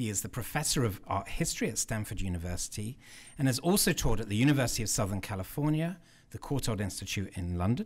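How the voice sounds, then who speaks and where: A man talks at a very fast pace, his voice somewhat breathy. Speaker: event host introducing a speaker. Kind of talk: formal introduction speech. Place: hall. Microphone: podium.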